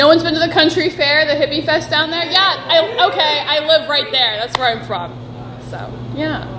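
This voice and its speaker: With a raised, projected voice, a woman speaks at a high pitch and a moderate pace with lively intonation, amid audible room echo and noticeable background noise. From Oregon, near Eugene. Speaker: stand-up comedian and podcast co-host. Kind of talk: casual chat. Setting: live audience podcast recording. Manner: loud; cheerful.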